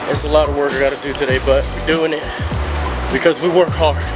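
There is music in the background. A man does the talking. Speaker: vlogger. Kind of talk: casual vlog chat. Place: street. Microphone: phone near.

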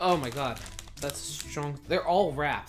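A man talks at a moderate pace. Clear music plays behind him. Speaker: snack reviewer. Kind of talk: casual vlog chat. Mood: playful, chatty. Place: home room. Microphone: camera far.

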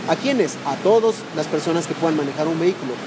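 Over clear background noise, a man talks at a fairly quick pace. His pitch is fairly high, with lively intonation.

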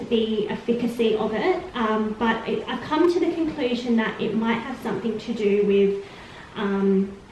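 A woman at a moderate pace with ordinary pitch variation, audible room echo and light background noise. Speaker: vlogger. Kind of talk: casual vlog chat. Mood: calm, earnest. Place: empty room. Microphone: camera far.

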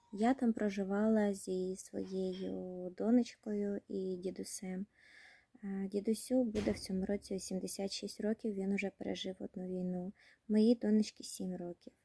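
Against a quiet background, a woman speaks at a fairly slow pace in a dark, mellow, somewhat breathy voice with monotone, flat intonation. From Kherson region, Ukraine. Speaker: war refugee. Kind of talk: personal appeal to camera. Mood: sad, tired, emotional. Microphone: phone near.

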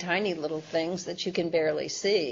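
Fairly quick and fairly low in pitch, a woman with an American accent uses an ordinary speaking voice. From US Midwest. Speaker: science author and former journalist; former journalist. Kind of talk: interview. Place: meeting room. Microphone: video call.

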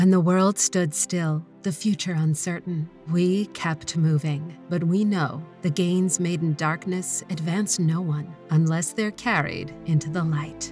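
Music plays in the background as a woman speaks very slowly, with hardly any pauses. Her fairly low voice has fairly even intonation. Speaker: voice actor. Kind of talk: brand anthem.

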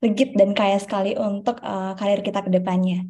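Somewhat breathy and dark, mellow in tone, a woman speaks at a fairly quick pace. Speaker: webinar moderator. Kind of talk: formal moderation. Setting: video call. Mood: cheerful, smiling. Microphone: video call.

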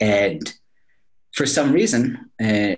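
A man's voice over a quiet background. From California, Silicon Valley; California. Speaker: business school professor. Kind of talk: interview. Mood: upbeat, smiling. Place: office. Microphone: video call.

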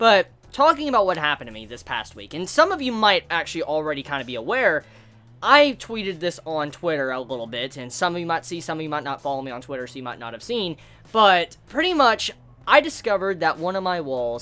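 A man speaks fairly quickly, his pitch swinging very widely. His loudness also rises and falls sharply. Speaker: vlogger. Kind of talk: casual vlog chat. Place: home room.

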